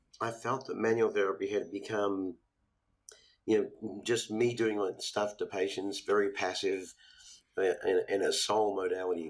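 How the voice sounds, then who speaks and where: Here a man speaks at a moderate pace. He has a slight Australian accent. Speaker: physical therapist and educator. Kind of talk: podcast interview.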